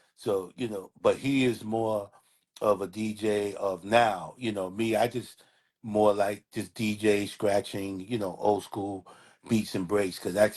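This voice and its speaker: At a moderate pace, a man with a New York accent speaks with ordinary pitch variation. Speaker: hip hop DJ and artist. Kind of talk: casual interview chat.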